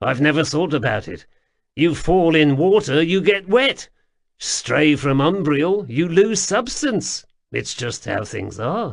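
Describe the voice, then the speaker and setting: A man puts on a character voice pitched fairly high. He talks at a fairly slow pace against a quiet background. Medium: read story. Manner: offhand, diffident.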